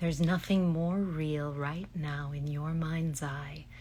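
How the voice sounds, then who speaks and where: A woman's very deep, low pitch, somewhat breathy, in a calm tone with monotone, flat intonation. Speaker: voice actress and hypnotherapist. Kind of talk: guided relaxation imagery. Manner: slow, soft-spoken, calm.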